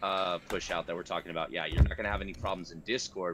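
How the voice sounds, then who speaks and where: Fairly quickly, a man talks with a very deep, low pitch. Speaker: streamer. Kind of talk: casual chat. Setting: online voice chat. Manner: halting.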